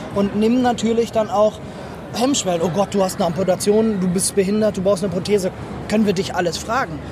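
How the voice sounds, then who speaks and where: Over noticeable background noise, a high-pitched man speaks very fast with fairly even intonation and very even loudness. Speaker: amputee athlete and peer counsellor. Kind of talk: interview. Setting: trade fair stand.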